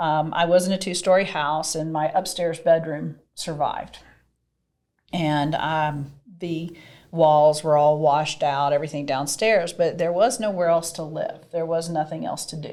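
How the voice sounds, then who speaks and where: Fairly low-pitched and dark, mellow in tone, a woman speaks fairly slowly with a slight Southern US accent and fairly even intonation. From US South, Mississippi. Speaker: podcast guest, real estate professional. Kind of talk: interview conversation.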